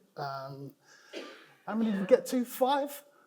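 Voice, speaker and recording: With a London accent, a man speaks with very wide pitch swings. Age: 60s. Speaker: cancer patient. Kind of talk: conference talk. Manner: hesitant, informal.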